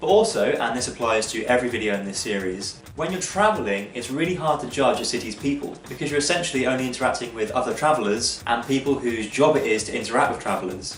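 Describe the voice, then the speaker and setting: There is noticeable background noise as a man with an English accent speaks at a medium pitch. He goes very fast with hardly any pauses. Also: lively intonation. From England. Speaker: travel vlogger. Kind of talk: casual monologue.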